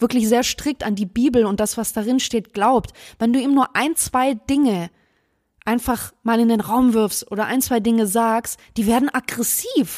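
An unremarkable speaking voice moves at a moderate pace with fairly even intonation. The sound is dry and close with no echo, on a very clean recording with a silent background. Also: woman. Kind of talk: casual chat. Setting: home recording, sitting close together. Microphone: very close to the mic.

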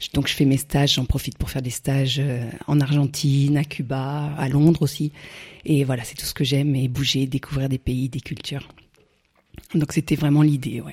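The voice is somewhat breathy and moves at a moderate pace, with a flat, monotone delivery. Long pauses come often, and the loudness swings widely. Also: woman, very deep, low pitch for a woman. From France, Burgundy (Morvan). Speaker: champagne entrepreneur. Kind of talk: interview. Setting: countryside, in person.

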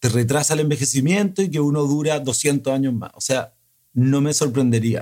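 A man speaks in an ordinary speaking voice, pitched at a medium level. His pace is moderate, and his pitch varies in an ordinary way. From Chile. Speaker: film director. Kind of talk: casual conversation.

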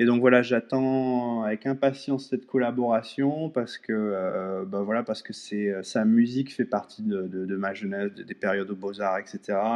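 An ordinary speaking voice with hardly any pauses, ordinary pitch variation, and a moderate pace. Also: man, medium pitch for a man. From France. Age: 40s. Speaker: digital artist. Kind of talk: interview. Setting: live audio chat room, remote.

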